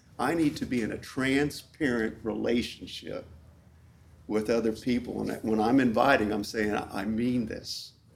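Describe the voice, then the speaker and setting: A man speaks at a fairly slow pace with medium pitch and vocal fry. His intonation is fairly even. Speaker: ministry leader. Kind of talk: conference workshop talk. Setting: conference room with audience.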